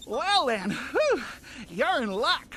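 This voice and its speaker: Over clear background noise, a cartoonish character voice speaks at a high pitch with very wide pitch swings. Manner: chatty, professorial.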